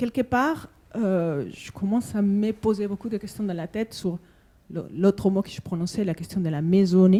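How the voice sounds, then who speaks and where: A woman at medium pitch with a Spanish accent, a dark, mellow tone and a fairly slow pace. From Spanish-speaking country. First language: Spanish (speaking French). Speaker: conference participant. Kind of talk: panel discussion. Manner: halting.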